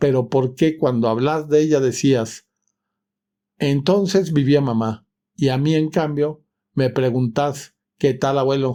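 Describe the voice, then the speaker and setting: A man with a dark, mellow tone and fairly high pitch speaks at a very slow pace, leaving long, frequent pauses, his intonation fairly even and his loudness very even. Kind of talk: short story audiobook reading.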